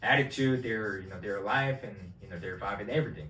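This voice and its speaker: A man's voice carries audible room echo. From South Korea. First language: Korean. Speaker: vlogger. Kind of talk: casual chat.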